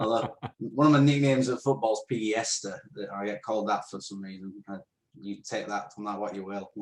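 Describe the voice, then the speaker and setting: A man speaks at a fairly quick pace with ordinary pitch variation and big swings in loudness. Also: fairly low pitch for a man. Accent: northern English. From northern England, Rotherham, South Yorkshire. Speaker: podcast co-host. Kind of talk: casual Q&A interview. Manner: chatty, hesitant with fillers.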